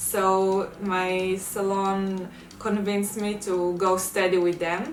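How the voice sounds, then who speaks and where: With music in the background and audible room echo, a woman speaks in a monotone, flat intonation with a strong Israeli accent. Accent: heavy Israeli. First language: Hebrew. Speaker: beauty vlogger. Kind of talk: tutorial. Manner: casual, with many fillers.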